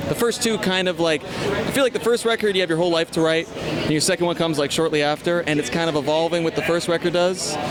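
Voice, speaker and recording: A man with a high pitch speaks very fast with hardly any pauses, his loudness very even and his pitch variation ordinary, over noticeable background noise. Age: 20s. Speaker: rock singer and guitarist. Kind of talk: casual interview. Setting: music festival.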